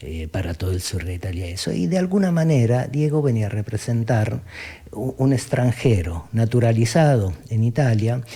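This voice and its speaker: Pitch swings very widely as the speech goes along at a moderate pace. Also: man. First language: southern Italian dialect (speaking Spanish). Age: 40s. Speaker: philosopher.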